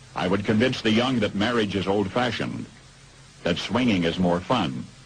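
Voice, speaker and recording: A man with fairly low pitch and ordinary pitch variation, at a moderate pace and very even loudness, over noticeable background noise. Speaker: radio broadcaster. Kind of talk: radio commentary.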